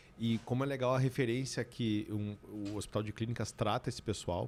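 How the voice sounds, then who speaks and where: With a strong Rio Grande do Sul accent, a man speaks at a fairly quick pace in a medium pitch and a dark, mellow tone. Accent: strong gaúcho interior. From Brazil, Rio Grande do Sul interior (Santiago). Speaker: business consultant and CEO. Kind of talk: podcast interview conversation. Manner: animated.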